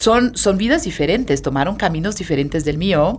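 A woman speaks at a medium pitch in a Brazilian accent. Her pitch swings very widely at a fairly slow pace. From Brazil, Sao Paulo. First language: Portuguese (speaking Spanish). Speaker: hotel sales and marketing director. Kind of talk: interview conversation.

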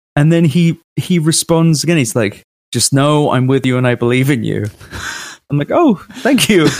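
With a British accent, a man with a fairly high pitch talks at a moderate pace, his intonation lively and his loudness very even. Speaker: PR professional and podcaster. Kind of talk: casual chat.

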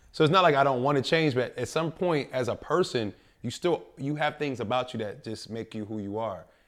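In a normal speaking voice with an American accent, a man of fairly high pitch speaks at a fairly quick pace with ordinary pitch variation on a very clean recording with a silent background. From North Philadelphia. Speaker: podcast co-host. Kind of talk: casual chat. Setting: studio.

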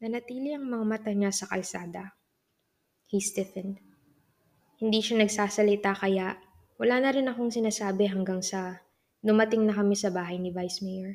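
A woman's medium-pitched voice in a Filipino accent, angry in tone, with fairly even intonation. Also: moderate pace. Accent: Filipino English and Tagalog. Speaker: audiobook narrator. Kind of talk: audiobook narration of a first-person novel. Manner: moves between Tagalog and English, shifting from brooding to sharply angry.

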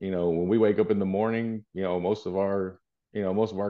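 In an American accent, a man with a fairly low pitch speaks at a very fast pace in a monotone with flat intonation. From El Paso, Texas. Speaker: high school football coach. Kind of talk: podcast interview.

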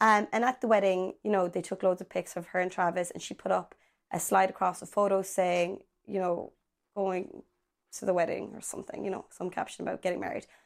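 Speaking at a fairly quick pace with vocal fry, a woman of medium pitch keeps a fairly even intonation while her loudness swings widely, all on a very clean recording over a silent background. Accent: Irish. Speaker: podcast co-host. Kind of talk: casual chat.

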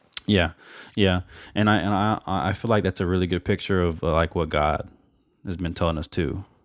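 A man's very deep, low voice, fairly quick yet broken by long, frequent pauses, with fairly even intonation. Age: 20s. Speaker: podcast co-host. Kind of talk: casual chat. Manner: halting.

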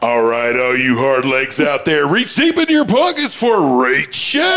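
A man puts on a character voice. Background noise is noticeable. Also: moderate pace. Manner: booming, showy.

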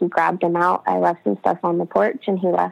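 A woman's voice has a dry, close sound with no echo. Music plays in the background. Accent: American. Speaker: abuse survivor. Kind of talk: casual interview, personal story.

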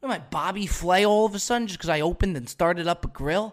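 At a fairly quick pace, a man speaks in an animated tone with high pitch. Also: very clean recording, silent background. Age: 20s. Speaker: podcast host. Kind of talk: comedic monologue. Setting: studio.

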